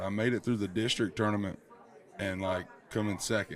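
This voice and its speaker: With a Southern US accent, a man talks fairly quickly in a fairly low, monotone voice with flat intonation. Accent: Southern American. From Georgia, USA. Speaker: country singer. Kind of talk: interview answer. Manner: casual, relaxed.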